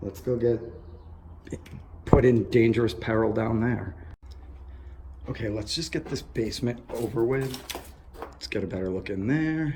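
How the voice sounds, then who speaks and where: Breathing somewhat audibly, a man speaks with a dark, mellow tone. His intonation is lively and his pace fairly slow. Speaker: urban explorer vlogger. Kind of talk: exploration vlog commentary. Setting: outdoors and abandoned building. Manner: drowsy, drunk-sounding.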